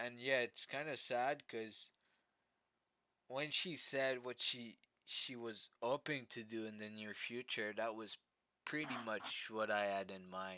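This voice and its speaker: In a French accent, a man speaks at a fairly slow pace, his medium pitch showing ordinary pitch variation. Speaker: vlogger. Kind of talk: casual storytelling vlog. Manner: halting, many fillers and repetitions.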